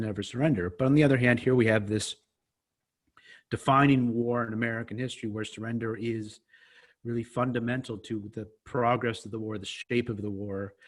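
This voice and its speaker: Talking at a fairly quick pace, a man uses a medium pitch. His pitch variation is ordinary. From US Northeast, New York City. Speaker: historian and author. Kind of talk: interview.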